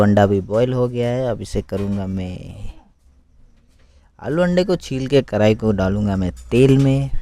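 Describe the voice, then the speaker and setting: A man with a slight non-native accent speaks in a dark, mellow tone. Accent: non-native Hindi, slight. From Arunachal Pradesh, India. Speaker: home cooking video creator. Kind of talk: cooking tutorial. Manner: casual, conversational.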